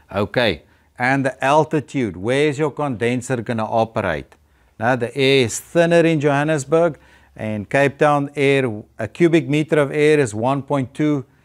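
A man at a fairly slow pace, with ordinary pitch variation and a quiet background. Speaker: presenter. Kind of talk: lecture. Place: hall.

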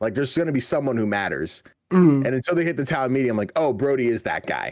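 A man speaks with very wide pitch swings. The sound is dry with no echo, and the background is quiet. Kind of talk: casual chat. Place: home room. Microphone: video call.

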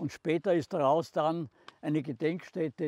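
In a Styrian accent, a man speaks with a fairly high pitch and a dark, mellow tone at a moderate pace. The sound is dry, with no echo. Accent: Styrian Austrian German. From southern Styria, Austria. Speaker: contemporary witness, former mayor. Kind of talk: documentary guided narration. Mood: calm, serious recollection. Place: open country.

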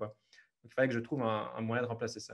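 A man talking at a fairly quick pace against a quiet background. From Belgium, Liège region; Belgium. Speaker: travel photographer; podcast guest. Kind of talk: interview. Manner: hesitant, many fillers. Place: home room. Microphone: earbuds.

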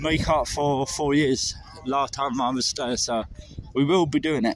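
The pace is fairly slow. The sound is dry with no echo, over light background noise. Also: man. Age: 20s. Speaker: travel vlogger. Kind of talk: walking vlog. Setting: outdoors. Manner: casual, hesitant with fillers. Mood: unwell, apologetic. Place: street. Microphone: phone near.

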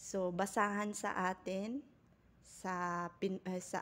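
A woman speaks at a medium pitch and a very slow pace. Her intonation stays flat and monotone. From Philippines. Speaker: vlogger / overseas worker; vlogger. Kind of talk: tutorial. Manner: halting, with frequent fillers. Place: kitchen. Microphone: phone near.

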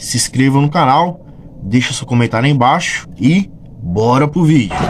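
This man speaks at a moderate pace with lively intonation. Light background noise sits behind him. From Brazil, São Paulo. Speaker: football fan youtuber. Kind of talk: casual vlog commentary. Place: home room. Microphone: phone near.

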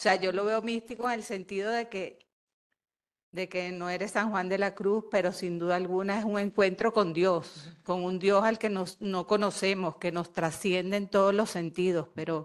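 A woman speaks at a fairly slow pace with fairly even intonation over a quiet background. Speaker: audience member. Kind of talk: question from audience. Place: hall.

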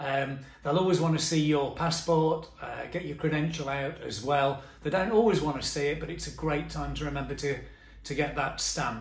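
A man talks at a moderate pace with fairly even intonation. Audible room echo surrounds his voice. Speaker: travel tips vlogger. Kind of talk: tutorial. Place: home room. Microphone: phone near.

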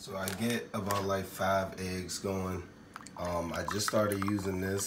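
A man speaks at a fairly slow pace. Noticeable background noise runs underneath. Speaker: vlogger. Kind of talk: casual vlog chat. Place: kitchen. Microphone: phone near.

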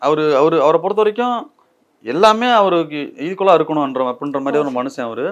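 Using a normal speaking voice, a man talks at a fairly high pitch with lively intonation. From Tamil Nadu, Dindigul. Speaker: film actor. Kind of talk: interview.

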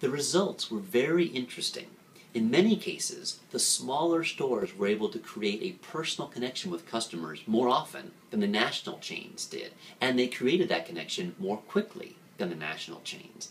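With light background noise behind him, a man talks at a moderate pace with very wide pitch swings. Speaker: marketing commentator. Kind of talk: commentary. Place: office. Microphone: webcam.

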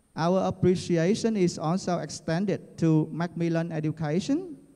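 A man speaks in a Vietnamese accent, with a high pitch and a dark, mellow tone. The background is quiet. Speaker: university dean. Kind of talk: formal speech. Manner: formal. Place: hall. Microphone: handheld.

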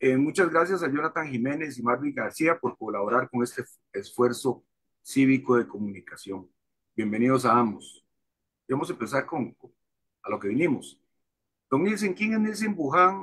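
A man with a Costa Rican accent speaks at a moderate pace and fairly high pitch, his pitch swinging very widely, with long, frequent pauses against a quiet background. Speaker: journalist and show host. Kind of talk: interview. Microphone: video call.

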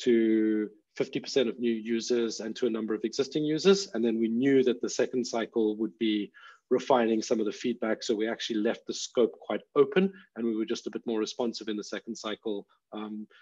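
Fairly quick, fairly low-pitched man's voice, dark and mellow in tone, with fairly even intonation.

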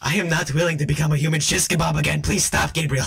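A man puts on a raspy character voice, pitched fairly high, and talks at a very fast pace. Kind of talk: comic overacting. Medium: fan dub. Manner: panicky, rambling, comic overacting.

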